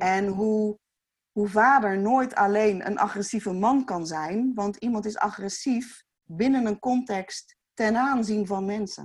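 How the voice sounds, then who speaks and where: A woman speaks very slowly in a fairly high voice. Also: fairly even intonation. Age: 40s. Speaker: youth care foundation founder. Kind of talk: casual chat.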